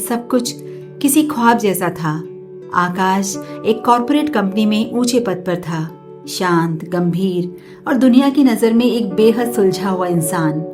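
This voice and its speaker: A woman speaks in a calm tone at medium pitch. Her intonation is lively, with music in the background. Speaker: poet, storyteller, voiceover artist. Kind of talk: emotional story narration. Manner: calm, reflective.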